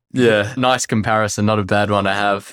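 In a very clean recording with a silent background, a man speaks at a moderate pace, fairly low in pitch, in an ordinary speaking voice. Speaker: podcast host. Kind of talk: casual interview.

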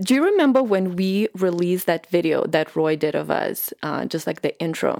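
A woman speaks with a non-native accent at a moderate pace. She leaves hardly any pauses. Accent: foreign-accented English. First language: not English. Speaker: podcast host. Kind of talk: casual conversational interview.

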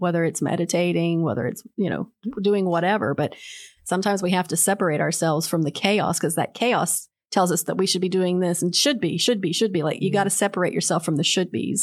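On a very clean recording with a silent background, a woman speaks very fast at a fairly low pitch, her loudness very even and her pitch varying in an ordinary way. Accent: American. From West Virginia. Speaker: art education professor. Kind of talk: casual interview. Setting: studio.

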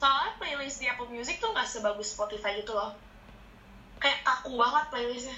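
A woman at a high pitch, speaking fairly quickly over noticeable background noise. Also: fairly even intonation. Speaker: medical student. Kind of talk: casual chat.

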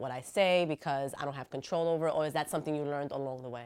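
In a New York accent, a woman talks at a very fast pace. Her pitch is very deep and low, and her intonation fairly even. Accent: New York City. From New York City, the Bronx. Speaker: podcast host. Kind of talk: casual interview chat. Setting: studio.

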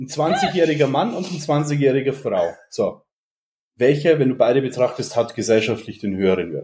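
This man's fairly high, somewhat breathy voice has a dark, mellow tone and lively intonation at a moderate pace. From Bavaria, Germany (Regensburg). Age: 30s. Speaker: fitness entrepreneur and coach. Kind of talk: casual podcast interview.

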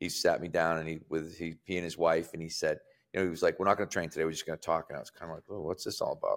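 A man talking at a very fast pace, with big swings in loudness. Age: 60s. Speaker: strength and conditioning coach. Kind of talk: casual chat.

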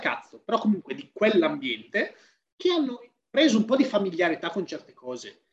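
A man's high-pitched voice with very wide pitch swings at a fairly quick pace. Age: 30s. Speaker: fitness professional. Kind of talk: casual chat.

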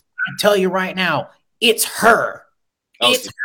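A man puts on a raspy character voice, pitched high. He speaks fairly slowly. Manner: ranting, emphatic.

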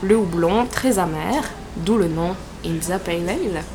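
A woman talks over noticeable background noise. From southern France. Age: 20s. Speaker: podcast co-host. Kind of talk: casual chat about politics.

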